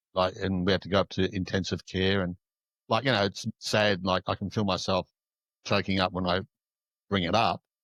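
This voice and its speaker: Monotone, flat speech with long, frequent pauses, in a dry, close sound with no echo over a quiet background. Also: man, very deep, low pitch for a man, moderate pace. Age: 60s. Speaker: shadow work coach. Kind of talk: casual interview chat. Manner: halting, many fillers.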